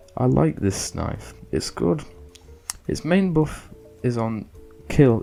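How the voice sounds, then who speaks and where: With music in the background, a man speaks at a fairly slow pace with lively intonation. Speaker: gaming video creator. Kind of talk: gameplay commentary voiceover.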